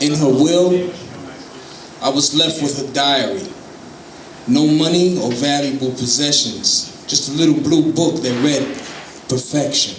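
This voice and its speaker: A fairly high-pitched man at a fairly slow pace, with ordinary pitch variation, long, frequent pauses and noticeable background noise. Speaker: spoken word poet. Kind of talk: live spoken word poetry performance. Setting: live stage.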